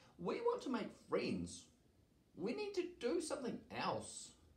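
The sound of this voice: A man's put-on character voice at an extremely high pitch, with very wide pitch swings and a fairly slow pace.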